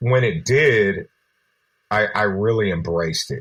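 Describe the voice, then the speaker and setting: Speaking very slowly with an American accent, a man with a medium pitch and a bright, sharp tone is heard against a quiet background. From Berkeley, California. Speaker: rapper. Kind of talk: interview.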